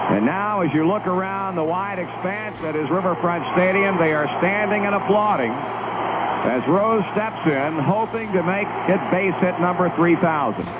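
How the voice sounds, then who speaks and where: A man with an American accent talks at a fairly slow pace and a high pitch, with hardly any pauses. Noticeable background noise runs beneath him. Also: ordinary pitch variation. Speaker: radio baseball play-by-play announcer. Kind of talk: live radio play-by-play of a historic hit. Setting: recorded off the radio (old 8 track tape), vintage broadcast.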